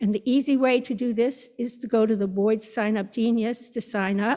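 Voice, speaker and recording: Against a quiet background, a woman speaks at a fairly slow pace. Her pitch is high, with ordinary pitch variation. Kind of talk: church announcements. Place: church.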